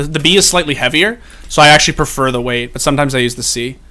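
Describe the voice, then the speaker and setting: This man's voice sits fairly high in pitch and has a bright, sharp tone. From Canada, Toronto. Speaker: streamer and esports host. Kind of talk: live stream chat reading viewer questions. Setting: live stream with headset mic. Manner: casual, filler-heavy.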